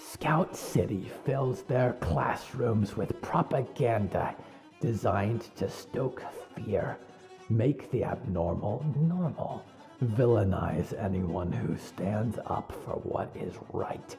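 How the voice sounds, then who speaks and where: A man at medium pitch uses a put-on character voice at a very slow pace. Clear music plays in the background. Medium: audio drama. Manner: hissing, menacing.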